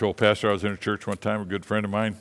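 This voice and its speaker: A man with an American accent at a very fast pace. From Michigan. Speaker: missionary. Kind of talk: sermon. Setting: church.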